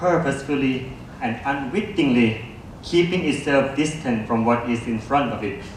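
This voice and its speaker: Noticeable background noise and audible room echo surround a man's voice. He speaks at a fairly slow pace with ordinary pitch variation. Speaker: philosophy lecturer. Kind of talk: reading a prepared talk. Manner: formal.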